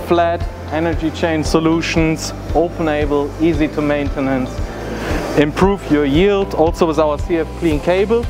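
A man is speaking while music plays clearly in the background. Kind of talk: product presentation. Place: hall.

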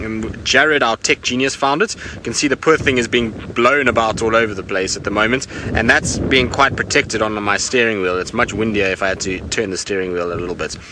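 A man at a fairly quick pace with ordinary pitch variation, in a dry sound with no echo but noticeable background noise. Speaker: safari guide. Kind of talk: live broadcast commentary. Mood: enthusiastic, curious. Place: car.

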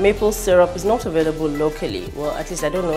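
A woman speaks at a very fast pace with clear music in the background. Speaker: cooking show host. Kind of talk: cooking show presentation. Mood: cheerful, enthusiastic. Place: kitchen.

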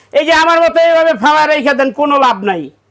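This man's voice sits extremely high in pitch, with ordinary variation in its melody. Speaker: shopkeeper selling dinnerware. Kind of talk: sales pitch. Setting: shop. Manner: animated.

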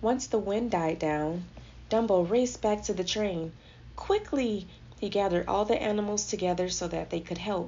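Pitch shifts in an ordinary way. The voice is a natural reading voice.

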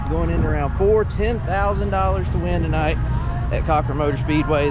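A man talks at a moderate pace with music playing in the background. The sound is dry, with no echo. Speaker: race team member vlogger. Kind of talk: casual vlog chat. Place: open country. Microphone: phone near.

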